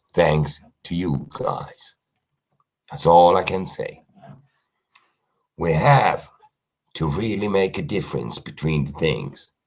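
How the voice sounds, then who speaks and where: A man's very deep, low voice with vocal fry, lively intonation, a very slow pace and long, frequent pauses. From Germany. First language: German. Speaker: live streamer. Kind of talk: live stream monologue. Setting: live stream at home at night.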